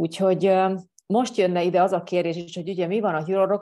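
A woman speaks in a dark, mellow tone. Her pace is fairly quick. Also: quiet background. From Hungary. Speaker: life coach; coach answering program questions. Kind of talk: monologue answering viewer questions. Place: home room. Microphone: earbuds.

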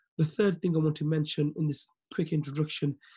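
Somewhat breathy, a man's dark, mellow tone moves at a fairly quick pace. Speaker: forex business mentor and team leader. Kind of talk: motivational training webinar. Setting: video call.

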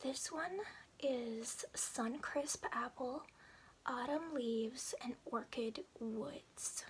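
Over light background noise, a woman whispers at a very slow pace. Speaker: beauty haul vlogger. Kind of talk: ASMR product haul chat. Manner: whispered. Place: home room.

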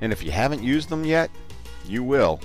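Fairly quick male speech over background music. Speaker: voice actor. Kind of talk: corporate promo narration. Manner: casual, friendly.

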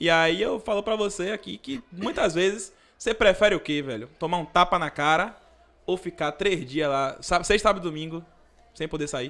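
In a Bahian accent, a man speaks at a moderate pace with ordinary pitch variation. His voice is high-pitched with a bright, sharp tone. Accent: Bahian Brazilian Portuguese. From Brazil, Salvador (Bahia). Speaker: police officer cadet; podcast guest. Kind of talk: casual podcast interview. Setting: studio. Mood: relaxed, casual. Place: studio. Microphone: studio mic.

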